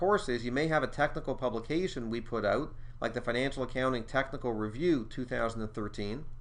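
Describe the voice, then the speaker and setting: Using an unremarkable speaking voice, a man talks at a fairly quick pace with ordinary pitch variation. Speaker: exam prep school co-director and instructor. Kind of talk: tutorial.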